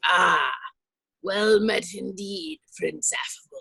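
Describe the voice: A put-on character voice that sounds female is raised and projected, delivered at a very slow pace.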